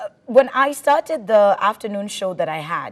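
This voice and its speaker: A woman speaks at a fairly slow pace with a medium pitch and lively intonation, in a dry, close sound with no echo. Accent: Kenyan. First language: Swahili. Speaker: radio presenter. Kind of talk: talk show interview.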